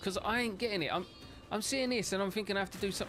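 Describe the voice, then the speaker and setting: A voice with a British accent is heard over music in the background. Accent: British, casual. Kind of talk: informal, not proper.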